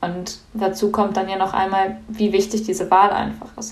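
A woman speaks at a moderate pace and medium pitch in a monotone, flat delivery, with audible room echo and noticeable background noise. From Germany. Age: young. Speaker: climate activist. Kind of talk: podcast debate.

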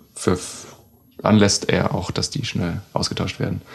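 This man has a fairly low pitch and fairly even intonation. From southern Germany, Baden-Württemberg. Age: 20s. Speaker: trained cook, flatmate. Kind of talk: casual chat. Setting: living room of a shared flat.

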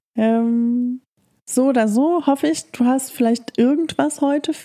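A dark, mellow tone at a very slow pace with ordinary pitch variation. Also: woman. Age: 40s. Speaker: solo podcast host. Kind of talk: personal monologue, rant. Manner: hesitant, many filler sounds.

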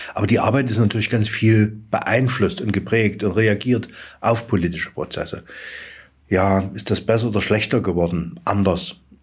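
A man's somewhat breathy, fairly low voice at a moderate pace, with fairly even intonation. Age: 60s. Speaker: head of a regional aid organisation. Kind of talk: interview. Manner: halting.

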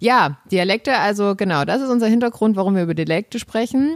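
A woman's normal speaking voice with lively intonation at a fairly quick pace, in a very clean, dry and close recording with no echo and a silent background. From Saxony, eastern Germany. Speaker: podcast host. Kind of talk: casual chat.

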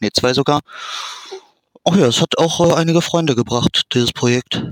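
In a dry, close sound with no echo, a man with a normal speaking voice talks at a fairly quick pace with ordinary pitch variation. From Germany, Dortmund. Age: 30s. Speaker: fan translator and ROM hacker. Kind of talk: interview.

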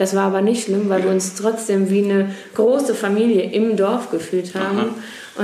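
Monotone, flat intonation at a moderate pace comes with audible room echo and noticeable background noise. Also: woman. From Germany, Ruhr area (Duisburg). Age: 20s. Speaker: youth association volunteer, pilgrim. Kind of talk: interview. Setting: pilgrim centre at a festival.

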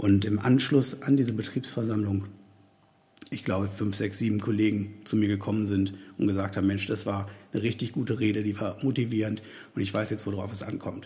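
The pace is fairly quick and the intonation fairly even. The tone is dark and mellow, and somewhat breathy. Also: man, fairly low pitch for a man. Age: 40s. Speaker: podcast host and career coach. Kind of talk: solo podcast monologue. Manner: hesitant, with many fillers.

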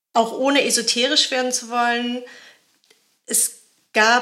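With a bright, sharp tone, a woman talks in fairly even intonation. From Germany. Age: 40s. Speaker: journalist and author. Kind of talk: interview. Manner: hesitant, many fillers.

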